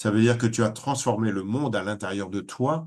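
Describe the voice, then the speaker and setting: Against a quiet background, a man with a normal speaking voice and medium pitch talks at a fairly quick pace with ordinary pitch variation. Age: 60s. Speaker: spiritual teacher. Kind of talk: webinar talk. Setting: online webinar.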